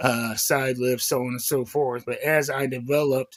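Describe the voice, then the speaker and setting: A man talks in a monotone with flat intonation. His pitch is medium. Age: 40s. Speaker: chronic pain vlogger. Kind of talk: casual talk to camera.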